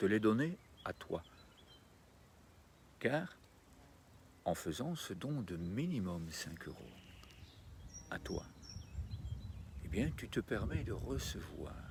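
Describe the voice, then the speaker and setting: Very slow delivery in a calm, gentle tone, somewhat breathy. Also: man. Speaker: meditation and wellbeing guide. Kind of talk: guided meditation outro and donation appeal.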